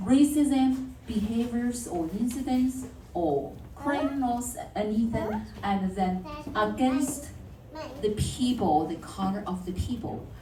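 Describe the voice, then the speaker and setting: With a non-native accent, a woman speaks very slowly at a fairly high pitch with lively intonation, amid audible room echo and noticeable background noise. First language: not English. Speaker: city councillor. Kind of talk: speech at community workshop.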